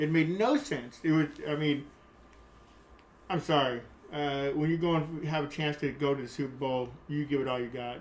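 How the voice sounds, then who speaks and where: A man's fairly high voice at a moderate pace, fairly even in intonation, with long, frequent pauses. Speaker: podcast co-host, host's father. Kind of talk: casual sports chat. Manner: halting.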